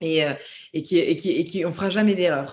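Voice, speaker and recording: Fairly low in pitch, a woman speaks at a fairly quick pace with ordinary pitch variation. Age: 30s. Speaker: singer-songwriter. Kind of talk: casual interview. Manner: hesitant, many repeated words.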